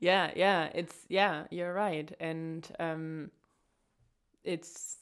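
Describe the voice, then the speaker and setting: The recording is very clean and the background silent. Here a woman talks at a fairly slow pace. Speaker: podcast co-host. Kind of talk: casual chat.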